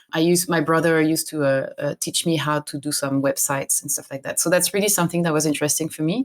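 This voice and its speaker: A woman with a French accent speaks at a very fast pace, hardly pausing, her pitch very deep and low. The recording is very clean, with a silent background. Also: fairly even intonation. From France. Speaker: games industry operations director. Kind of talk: interview.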